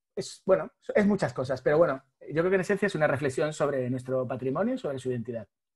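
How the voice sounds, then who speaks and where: A man talks at a very fast pace, his pitch fairly high and his intonation lively. His voice is somewhat breathy. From Spain, Madrid. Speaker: graphic designer. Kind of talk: podcast interview.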